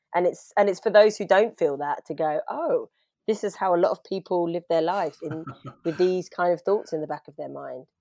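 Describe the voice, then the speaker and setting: A woman with a normal speaking voice talks at a moderate pace, her pitch fairly low with ordinary variation. Her loudness swings widely in a dry, close recording with no echo. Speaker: actor and playwright. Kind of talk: casual chat.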